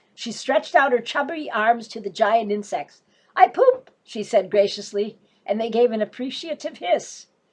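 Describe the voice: Lively intonation marks this plain reading aloud.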